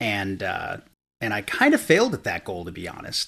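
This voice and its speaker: Keeping a moderate pace, a man talks in an American accent. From upstate New York. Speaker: web service founder. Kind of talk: casual chat. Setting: remote call.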